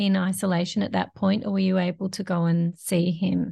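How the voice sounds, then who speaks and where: Against a quiet background, a woman with an Australian accent speaks at a medium pitch in a somewhat breathy voice. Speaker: podcast host. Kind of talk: interview.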